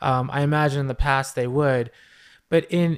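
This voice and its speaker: A plain, everyday voice belongs to a man speaking at a fairly quick pace in a fairly high pitch with ordinary pitch variation. The recording is very clean, with a silent background. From New York City. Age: 30s. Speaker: social work professor, model and actor. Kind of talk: casual interview.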